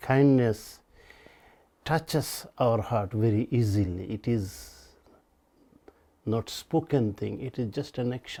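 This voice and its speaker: With a Bengali accent and a dark, mellow tone, a man speaks at a very slow pace with long, frequent pauses. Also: medium pitch for a man, ordinary pitch variation. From Bangladesh. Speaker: storyteller recounting his life. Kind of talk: personal storytelling interview.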